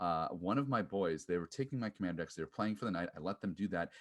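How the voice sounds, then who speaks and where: A man speaks in a plain, everyday voice at a fairly low pitch with ordinary pitch variation. The background is quiet. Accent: American. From US Upper Midwest. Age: 30s. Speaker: podcast host. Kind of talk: audition video monologue.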